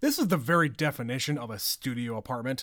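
With lively intonation and a fairly quick pace, a man speaks in an ordinary speaking voice on a very clean recording with a silent background. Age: 30s. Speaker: podcast co-host. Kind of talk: casual chat.

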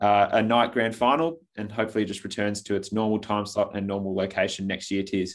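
Fairly low in pitch, a man speaks at a fairly quick pace in a very clean recording with a silent background. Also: fairly even intonation. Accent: Australian. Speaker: football podcast host. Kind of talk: casual chat.

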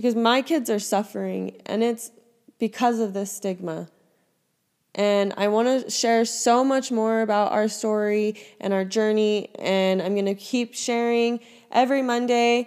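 Her speech is fairly slow, with fairly even intonation. The woman's pitch is fairly high. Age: 20s. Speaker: podcast host. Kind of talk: personal testimony. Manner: casual, laughing.

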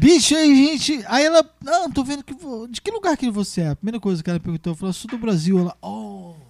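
A man's extremely high voice at a fairly quick pace, with very wide pitch swings and a dry, close sound with no echo. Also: big swings in loudness. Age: 40s. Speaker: musician. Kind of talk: casual chat.

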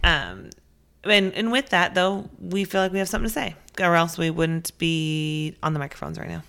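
In a very clean recording with a silent background, a woman talks at a moderate pace with ordinary pitch variation. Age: 30s. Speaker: podcast co-host, working parent. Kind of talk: casual chat.

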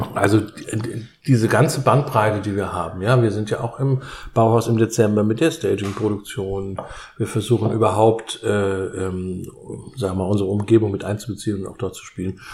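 At a moderate pace, a man talks in a somewhat breathy voice with long, frequent pauses. His loudness swings widely. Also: fairly low pitch for a man, ordinary pitch variation. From southwestern Germany. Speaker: theatre director. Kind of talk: interview while cooking.

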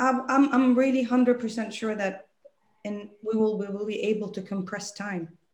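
The woman's voice is fairly high in pitch and somewhat breathy. Her intonation is fairly even, and her pace is fairly slow. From UAE (Dubai). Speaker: entrepreneur. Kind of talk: interview.

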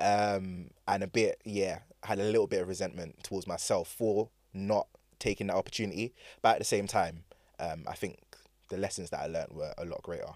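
A man with a London accent talks at a fairly quick pace on a very clean recording with a silent background. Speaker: DJ and DJ teacher. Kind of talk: casual chat. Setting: studio. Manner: soft-spoken.

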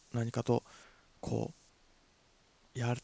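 The sound is dry and close with no echo, with a dark, mellow tone at a moderate pace. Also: man. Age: 20s. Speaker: actor and podcast host. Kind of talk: solo casual talk. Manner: halting, many fillers.

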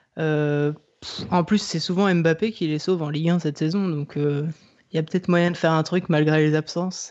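A man with a fairly high-pitched voice. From Le Mans, France. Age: 20s. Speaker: football supporter, social media account. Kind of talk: casual chat.

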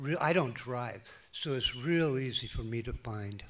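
With an American accent, a man speaks at a medium pitch and moderate pace with fairly even intonation. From Minnesota, US Midwest. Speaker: churchgoer. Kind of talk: testimony. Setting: church.

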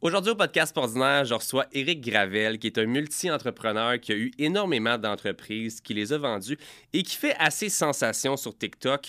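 With a Quebec accent, a man speaks at a moderate pace and medium pitch, his bright, sharp tone carrying lively intonation on a very clean recording with a silent background and a dry, close sound with no echo. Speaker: podcast host. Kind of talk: casual interview.

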